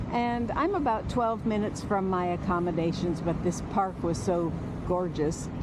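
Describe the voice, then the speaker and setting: A woman with an American accent talks at a medium pitch and moderate pace, with ordinary pitch variation and very even loudness, over noticeable background noise and audible room echo. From United States. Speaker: travel vlogger walking a pilgrimage. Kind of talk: casual vlog narration. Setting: outdoors. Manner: hesitant, many fillers.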